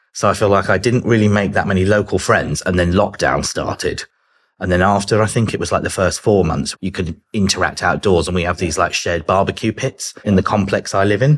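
Fairly low in pitch, a man with a southern English accent talks at a fairly quick pace. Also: ordinary pitch variation. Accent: British southern English. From southern England. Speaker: business development executive. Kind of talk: casual interview chat.

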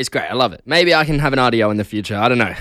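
Very clean audio with a silent background, carrying a man's voice with an Australian accent. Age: 20s. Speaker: radio host. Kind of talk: casual breakfast radio DJ patter, solo host chatting with listeners. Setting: radio studio. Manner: loose, giggly and self-deprecating, frequent laughs and filler ums; chatty, rambling with restarts and stumbles.

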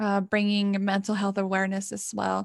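A woman speaks at medium pitch with a Mexican accent. The recording is very clean, with a silent background. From Mexico. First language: Spanish. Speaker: college student, student association member. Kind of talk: interview conversation. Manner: hesitant, with frequent repetitions.

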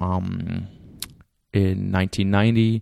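In a German accent, a man speaks at a fairly low pitch with a dark, mellow tone and monotone, flat intonation, recorded dry and close with no echo. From Germany. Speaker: podcast host. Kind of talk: lecture-style introduction.

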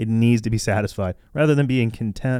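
Music plays behind a man whose voice sits at a medium pitch. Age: 30s. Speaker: comedy podcast host. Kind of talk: casual monologue.

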